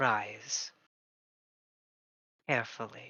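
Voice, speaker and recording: This is a put-on character voice. It is soft-spoken. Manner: gentle, gracious.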